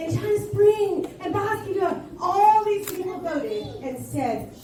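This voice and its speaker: With noticeable background noise and audible room echo, a woman talks loudly at an extremely high pitch, her voice making very wide pitch swings. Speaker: school administrator. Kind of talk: school assembly address. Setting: school assembly. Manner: animated.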